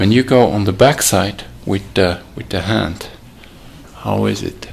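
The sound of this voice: With audible room echo around him, a man speaks fairly slowly at a fairly low pitch, showing vocal fry and ordinary pitch variation.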